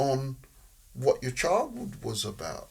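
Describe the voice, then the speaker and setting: This man talks at a fairly slow pace. Background music can be heard behind him. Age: 60s. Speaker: social worker and football referee. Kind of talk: podcast interview.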